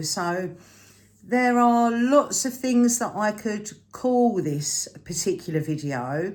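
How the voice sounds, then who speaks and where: Speaking with a British accent, a woman talks at a very slow pace with lively intonation. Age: 60s. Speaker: frugal living vlogger. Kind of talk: casual vlog talk to camera. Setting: home, at a table, evening. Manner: conversational with frequent fillers.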